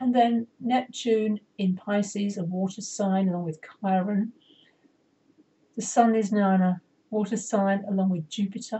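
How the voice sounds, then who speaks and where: At a fairly slow pace, a woman speaks in a somewhat breathy voice with fairly even intonation and long, frequent pauses. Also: medium pitch for a woman. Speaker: astrologer and soul coach. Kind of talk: astrology forecast tutorial with chart. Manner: deliberately slowed pace; halting, self-correcting.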